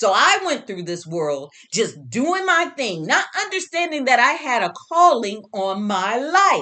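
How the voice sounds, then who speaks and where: Loud and animated, a woman speaks fairly slowly with hardly any pauses, her high, bright, sharp voice making very wide pitch swings. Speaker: herbalist and spiritual teacher. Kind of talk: motivational talk.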